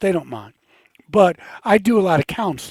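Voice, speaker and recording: A man speaks with an American accent. His pace is moderate, and his pitch varies in an ordinary way. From Baltimore, Maryland. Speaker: pastor. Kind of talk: interview. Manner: halting.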